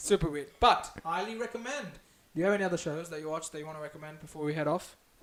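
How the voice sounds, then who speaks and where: Over noticeable background noise, a man with a high pitch talks very fast in an animated tone, with ordinary pitch variation and big swings in loudness. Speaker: live stream host. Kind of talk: casual chat. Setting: live stream.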